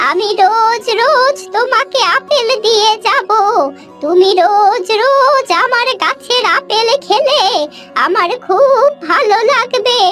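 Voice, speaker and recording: In a cartoonish character voice pitched extremely high, a woman speaks at a very slow pace with clear music in the background. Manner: motherly, colloquial.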